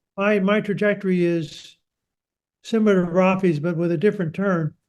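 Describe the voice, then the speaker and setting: Speaking at a moderate pace, a man holds a high pitch with fairly even intonation. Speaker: retired professor of comparative religions. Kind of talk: interview conversation.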